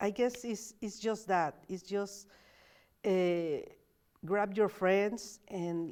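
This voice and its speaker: A woman's medium-pitched voice with a Spanish accent, very slow pace, fairly even intonation, and long, frequent pauses. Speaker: community organizer. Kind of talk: casual interview.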